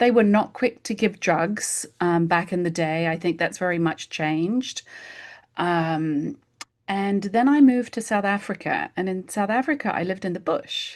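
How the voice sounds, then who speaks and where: With an English accent, a woman speaks at a moderate pace and medium pitch. Her pitch varies in an ordinary way, and the recording is very clean with a silent background. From England. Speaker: homeopath. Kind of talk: casual interview chat.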